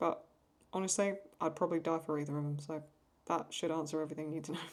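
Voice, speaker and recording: A woman speaks in an English accent at a very fast pace. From England. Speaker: YouTube reaction creator and artist. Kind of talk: casual Q&A while drawing. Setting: at home desk under a lamp. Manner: halting.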